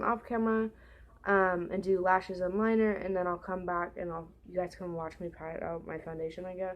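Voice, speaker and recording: A woman's voice at a moderate pace, with fairly even intonation. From California. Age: 20s. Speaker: beauty vlogger. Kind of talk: casual makeup tutorial chat. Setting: at home. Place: home room. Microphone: webcam.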